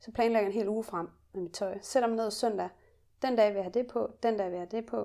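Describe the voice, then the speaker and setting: A woman's fairly high-pitched voice with a dark, mellow tone, delivered at a very fast pace. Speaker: podcast co-host. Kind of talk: casual chat. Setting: hotel room. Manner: energetic.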